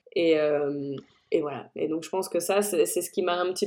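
A woman talks at a moderate pace, her voice pitched fairly low. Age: 30s. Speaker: food blogger and culinary photographer. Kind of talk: interview. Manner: animated.

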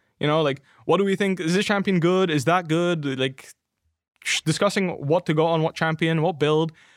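Spoken with a Flemish accent, the voice holds very even loudness and fairly even intonation. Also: man, high pitch for a man, moderate pace. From Belgium (Flanders). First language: Dutch (Flemish). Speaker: professional esports player. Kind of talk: casual chat.

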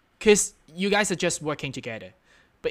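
A man with a non-native accent talks, his pitch varying in an ordinary way. It's a very clean recording with a silent background. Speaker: podcast host. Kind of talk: solo reflective monologue. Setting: at home. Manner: many fillers and self-corrections.

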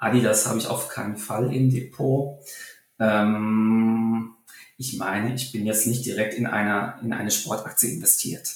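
A man talks at a fairly slow pace in a medium pitch. His intonation stays fairly even. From Germany, Taunus (Hesse). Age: 20s. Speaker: stock analyst. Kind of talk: interview. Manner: halting, many fillers.

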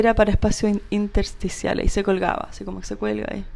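A woman speaks with a Chilean accent. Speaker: industrial designer and entrepreneur. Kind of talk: casual interview.

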